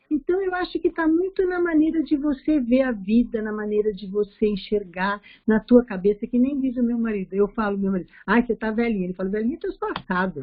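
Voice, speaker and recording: Speaking at a fairly quick pace, a woman has a fairly high pitch with very wide pitch swings. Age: 60s. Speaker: study group participant. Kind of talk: casual chat.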